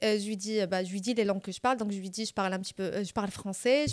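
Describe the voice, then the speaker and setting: A woman's very fast speech in a Moroccan accent, with fairly even intonation, a dry, close sound with no echo, and a very clean recording with a silent background. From Morocco. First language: Moroccan Arabic (speaking French). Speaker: podcast guest. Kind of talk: storytelling in casual chat.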